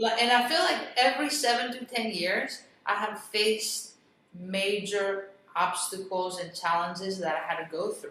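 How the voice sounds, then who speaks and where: A woman with a Greek accent, her bright, sharp tone at medium pitch, ordinary pitch variation and a moderate pace, with audible room echo. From Greece, moved to US at eleven. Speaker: real estate investor and business coach. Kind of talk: interview.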